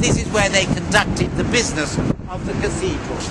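The voice is a man's. Around him the background noise is loud. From Wales. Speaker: tour guide. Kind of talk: guided tour commentary. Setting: outdoors. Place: street.

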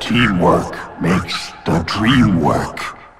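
A raspy, put-on character voice is heard over clear background music. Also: man, very deep, low pitch for a man. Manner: halting, slow.

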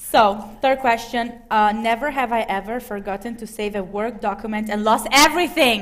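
A woman with an Italian accent speaks at a moderate pace and a fairly high pitch. Her tone is animated, with hardly any pauses. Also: ordinary pitch variation. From Italy. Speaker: talk show host. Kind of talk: live talk show. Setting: stage with audience. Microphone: headset.

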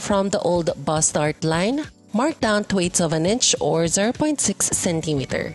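Music plays in the background as the speaker goes at a fairly slow pace with very wide pitch swings. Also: woman. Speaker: patternmaker. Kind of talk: sewing tutorial voiceover.

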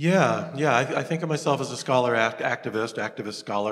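Against a quiet background, a man with an American accent talks at a fairly quick pace with ordinary pitch variation. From US South. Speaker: professor of environmental studies; guest. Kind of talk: guest lecture and classroom Q&A. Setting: lecture hall with student audience. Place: stage.

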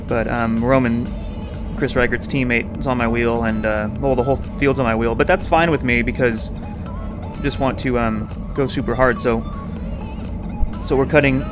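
A man's voice with ordinary pitch variation and music in the background. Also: moderate pace. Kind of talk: commentary.

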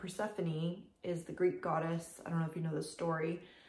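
A woman with a fairly low pitch talks at a moderate pace. Audible room echo surrounds her voice. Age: 30s. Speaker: craft vlogger. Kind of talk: casual chat. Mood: relaxed, friendly. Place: home room. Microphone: camera far.

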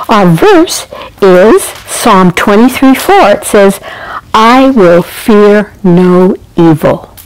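At a very slow pace, a woman talks with lively intonation. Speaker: storyteller. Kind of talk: devotional storytelling. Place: home room. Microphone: lapel.

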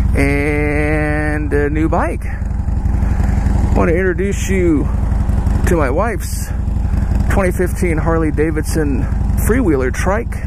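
Delivered at a very slow pace, the speech sits over loud background noise. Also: dry sound with no echo. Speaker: motorcycle vlogger. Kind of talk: casual vlog chat. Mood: relaxed, cheerful. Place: street. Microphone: helmet.

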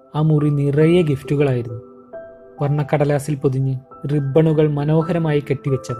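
Music plays in the background. Over it, a man speaks with a fairly high pitch and fairly even intonation. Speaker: storyteller. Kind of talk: short story narration.

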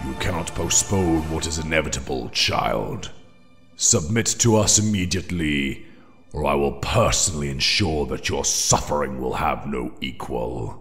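Clear music plays behind a man with a very deep, low pitch who speaks at a moderate pace. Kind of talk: horror villain. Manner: slow, solemn, menacing.

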